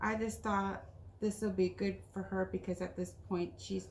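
Room echo can be heard on this female voice. There is some light background noise as well. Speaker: craft vlogger. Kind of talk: casual haul video chat. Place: home room. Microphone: camera far.

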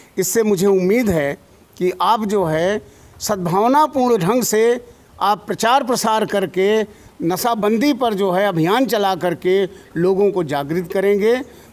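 A man speaks at a very slow pace and high pitch, with very even loudness and ordinary pitch variation. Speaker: retired senior civil servant; interviewee. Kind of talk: interview. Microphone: handheld.

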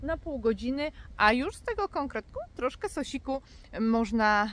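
A woman's high voice with very wide pitch swings and a dry, echo-free sound. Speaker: dog breeder vlogger. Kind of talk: casual vlog chat. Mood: warm, cheerful. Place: forest. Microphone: phone near.

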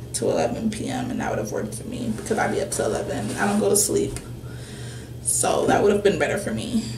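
The pace is fairly quick. Noticeable background noise runs underneath. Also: woman. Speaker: lifestyle vlogger. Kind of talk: casual vlog monologue. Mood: relaxed, slightly nauseous. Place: home room. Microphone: webcam.

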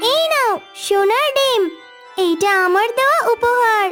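Extremely high in pitch, a cartoonish character voice moves at a fairly slow pace over clear background music. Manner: polite, gentle.

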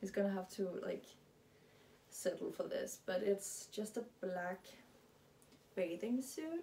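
A woman with a Danish accent speaks at a medium pitch in a dark, mellow, somewhat breathy tone with ordinary pitch variation. Her very slow delivery has long, frequent pauses over light background noise. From Denmark. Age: 20s. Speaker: lifestyle vlogger; vlogger. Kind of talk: casual vlog monologue. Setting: at home in her closet. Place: home room. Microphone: camera far.

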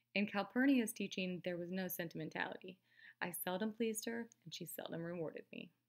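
The clip has a natural reading voice. Its pitch varies in an ordinary way.

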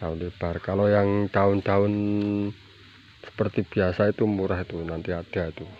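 A man speaks at a moderate pace with a very deep, low pitch and flat, monotone intonation. The sound is dry with no echo, and light noise sits in the background. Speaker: plant seller. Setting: filming at home garden, showing plants to camera. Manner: repeats prices and phrases twice for emphasis. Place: garden. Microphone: phone near.

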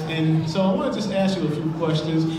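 Strong room echo and noticeable background noise surround speech delivered at a moderate pace. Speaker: event host. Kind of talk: live event host interview. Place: hall.

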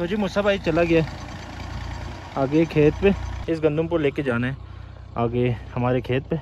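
Speaking at a fairly slow pace, a man has a fairly high pitch and a slightly mellow tone. Faint background noise can be heard. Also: ordinary pitch variation.

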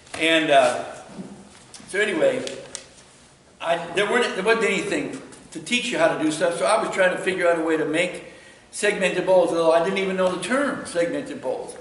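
A man talks at a moderate pace in a high pitch, with ordinary pitch variation. Long, frequent pauses break up his speech, and audible room echo surrounds it. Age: 70s. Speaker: woodturner; woodturning demonstrator. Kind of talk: lecture. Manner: halting. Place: workshop. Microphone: camera far.

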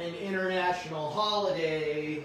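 A man speaks in a high pitch with ordinary pitch variation. Noticeable background noise can be heard. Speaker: online shopping show host. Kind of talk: live stream shopping show, casual talk to viewers. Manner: upbeat.

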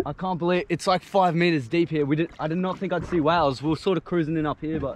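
A man speaks at a fairly quick pace in a dry sound with no echo, with light background noise. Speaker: vlogger. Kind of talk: casual vlog chat. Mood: excited, awed. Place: boat. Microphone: phone near.

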